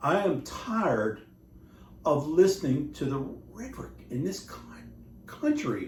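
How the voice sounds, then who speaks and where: A man with an American accent talks at a fairly slow pace amid audible room echo. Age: 60s. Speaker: war veteran and vlogger. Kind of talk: rant. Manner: animated.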